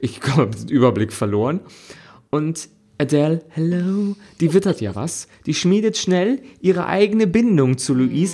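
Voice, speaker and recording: Music plays in the background while the speaker goes at a fairly slow pace. The pitch swings very widely. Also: man, fairly high pitch for a man. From Germany. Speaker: podcast co-host. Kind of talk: casual chat. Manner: animated.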